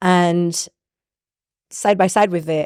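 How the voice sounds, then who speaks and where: In a Portuguese accent, a woman talks at a moderate pace and medium pitch. The recording is very clean with a silent background, and the sound is dry and close, with no echo. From Brazil. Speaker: singer and songwriter. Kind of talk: interview. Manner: loud.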